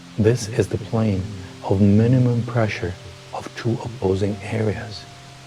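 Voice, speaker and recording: Calm, medium-pitched male voice at a fairly slow pace, ordinary pitch variation, music in the background. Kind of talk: sleep-aid reading of a philosophical text. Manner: slow, calm.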